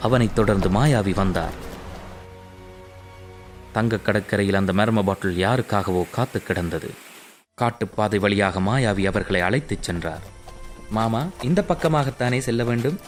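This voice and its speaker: With music in the background, a man speaks in a fairly low pitch with ordinary pitch variation. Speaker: voice-over artist. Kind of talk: animated comic story narration. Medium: cartoon.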